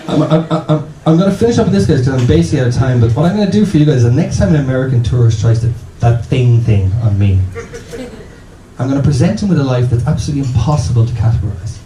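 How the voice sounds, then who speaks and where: A man with an Irish accent talks at a very fast pace and medium pitch, with lively intonation and very even loudness. Noticeable background noise and audible room echo come through. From Ireland. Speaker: comedian. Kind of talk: stand-up. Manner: animated.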